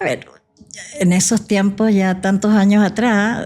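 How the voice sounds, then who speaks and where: A somewhat breathy woman's voice, medium in pitch, with a dark, mellow tone. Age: 60s. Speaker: physician. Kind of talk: podcast interview. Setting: coffee shop.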